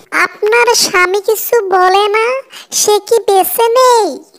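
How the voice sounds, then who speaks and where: A cartoonish character voice with fairly even intonation. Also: woman, extremely high pitch for a woman, fairly slow pace. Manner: caring but authoritative.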